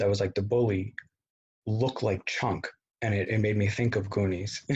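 A somewhat breathy man's voice, fairly low in pitch, with fairly even intonation at a moderate pace. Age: 30s. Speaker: co-host guest. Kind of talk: casual chat about a movie.

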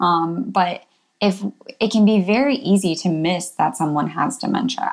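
A woman's medium-pitched voice with vocal fry, ordinary pitch variation, and a moderate pace. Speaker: emergency physician. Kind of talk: casual interview chat.

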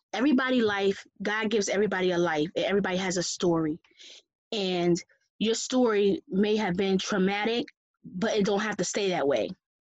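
Her pitch medium and its variation ordinary, a woman speaks in a normal speaking voice. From Connecticut. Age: 30s. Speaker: guest sharing life story. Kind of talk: testimony.

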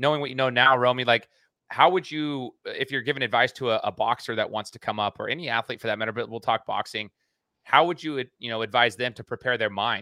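At a very fast pace, a man with a bright, sharp tone talks at medium pitch with ordinary pitch variation, recorded dry and close with no echo against a quiet background. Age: 30s. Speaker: podcast host. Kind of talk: casual interview chat.

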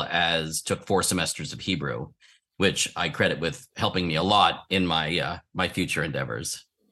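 A man's bright, sharp voice with an American accent, at a moderate pace over a quiet background. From Philadelphia, US. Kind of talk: interview.

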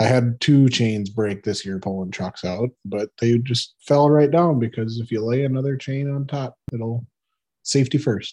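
A dark, mellow tone carries this American-accented voice at a moderate pace with ordinary pitch variation. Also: man, medium pitch for a man. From Wisconsin, US Midwest. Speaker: cranberry farm worker. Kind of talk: casual chat.

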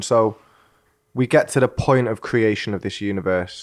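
In a British accent, a man speaks at a fairly slow pace. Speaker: podcast host interviewer. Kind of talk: casual interview. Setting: in person studio.

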